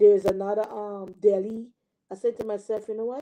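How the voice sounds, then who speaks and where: Speaking at a moderate pace, a woman has a fairly high pitch and a dark, mellow tone. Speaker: online preacher. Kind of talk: live stream sermon and chat. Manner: hesitant, many fillers; casual.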